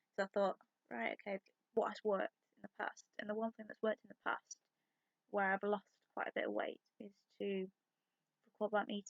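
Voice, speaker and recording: A woman speaks at a medium pitch with fairly even intonation and long, frequent pauses. The sound is dry and close, without echo. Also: fairly quick pace. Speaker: pagan witch vlogger. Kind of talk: casual talk to camera. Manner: hesitant, rambling.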